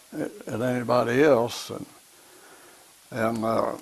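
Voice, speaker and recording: A man with an American accent, noticeable background noise behind him. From US Midwest (southeast Missouri). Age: 80s+. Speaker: war veteran. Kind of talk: interview. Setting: at home. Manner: halting.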